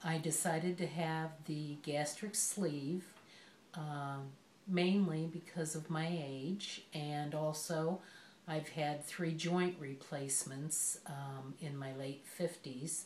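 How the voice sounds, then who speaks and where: Very deep, low female voice, very slow and fairly even in intonation, with audible room echo. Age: 60s. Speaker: patient. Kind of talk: patient interview. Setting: doctor's office.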